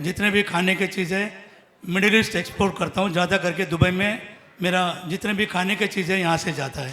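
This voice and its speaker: The voice is raised and projected, delivered in a flat monotone. Noticeable background noise sits behind it. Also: man. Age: 60s. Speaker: businessman, devotee. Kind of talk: speech.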